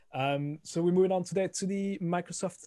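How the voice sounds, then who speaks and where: Speaking with a strong French accent, a man has a dark, mellow tone. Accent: thick French. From France. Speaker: podcast co-host. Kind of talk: casual chat.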